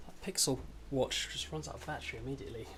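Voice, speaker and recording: A man speaks with a British accent. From Britain. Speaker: game developer streamer. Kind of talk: casual live stream chat while coding. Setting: live stream. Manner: fast; rambling to himself.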